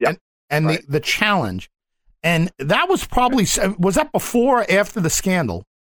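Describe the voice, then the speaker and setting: A man is heard on a very clean recording with a silent background, the sound dry and close with no echo. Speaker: radio host. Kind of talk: interview.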